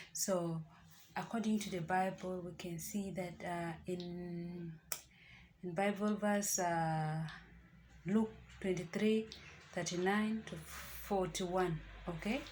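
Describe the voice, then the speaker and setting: Soft-spoken and fairly low-pitched, a woman talks at a very slow pace with fairly even intonation and long, frequent pauses, audible room echo around her. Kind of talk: devotional talk to camera. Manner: soft-spoken, keeping voice low.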